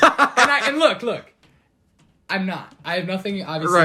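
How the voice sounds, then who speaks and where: Raised and projected, a man's high-pitched voice has a bright, sharp tone and lively intonation at a moderate pace. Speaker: podcast guest. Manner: casual, animated storyteller.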